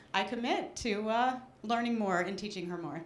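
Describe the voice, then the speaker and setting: A woman at a fairly quick pace with ordinary pitch variation, audible room echo around her. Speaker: audience member. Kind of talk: audience share at a talk. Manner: halting, many fillers.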